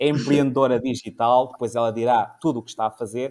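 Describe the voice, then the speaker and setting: A man with a European Portuguese accent, a medium pitch and monotone, flat intonation. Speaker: talk show host. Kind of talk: informal panel discussion.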